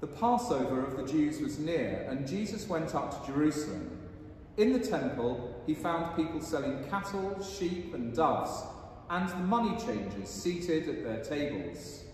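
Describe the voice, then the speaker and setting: At a moderate pace, a man's pitch swings very widely amid strong room echo and light background noise. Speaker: priest. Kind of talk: liturgy and sermon. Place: church. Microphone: camera far.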